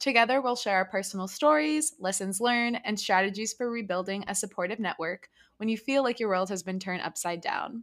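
In an ordinary speaking voice, the talker moves at a fairly quick pace with hardly any pauses, on a very clean recording with a silent background. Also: woman, medium pitch for a woman, ordinary pitch variation. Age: 20s. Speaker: podcast host. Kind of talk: casual chat.

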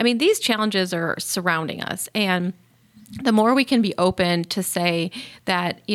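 A woman with medium pitch and ordinary pitch variation talks at a moderate pace in an unremarkable speaking voice. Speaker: mental health CEO and physician. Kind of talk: interview conversation.

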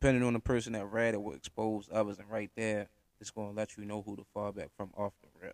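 Talking at a very fast pace, a man with a fairly low pitch keeps a monotone, flat intonation while his loudness swings widely, the sound dry and close with no echo. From US, Baltimore, Maryland (Park Heights). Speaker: podcast host. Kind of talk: casual solo monologue. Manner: laid back.

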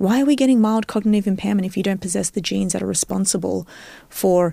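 A woman with an Australian accent at a medium pitch, dark and mellow in tone, very fast in pace with ordinary pitch variation, on a very clean recording with a silent background. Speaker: neuroscientist. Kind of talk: casual interview.

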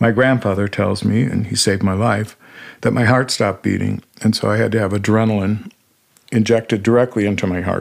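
In a very clean recording with a silent background, a man with a fairly low pitch speaks fairly quickly in a monotone, flat intonation. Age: 60s. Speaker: guest sharing personal near-death experience. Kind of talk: testimony.

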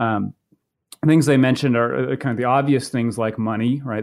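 Speaking very fast with an American accent, a man keeps his intonation fairly even in a dry, close sound with no echo over a quiet background. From Maine, US. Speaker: political science professor. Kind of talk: interview about his book. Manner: halting, many fillers and repetitions.

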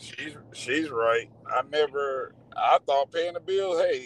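A Southern US accent in dry, close sound with no echo. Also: man. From rural Georgia, near Athens. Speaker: truck driver. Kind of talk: casual interview.

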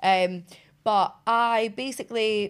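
Fairly even intonation runs through a woman's speech in a very clean recording with a silent background. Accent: Scottish. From Scotland. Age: 20s. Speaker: reality TV personality. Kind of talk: interview.

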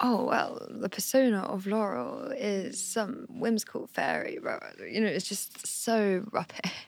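The speaker goes at a fairly slow pace with hardly any pauses, showing vocal fry and ordinary pitch variation. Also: woman, fairly high pitch for a woman. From Hampshire, southern England. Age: 20s. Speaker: indie pop singer. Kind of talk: casual podcast interview.

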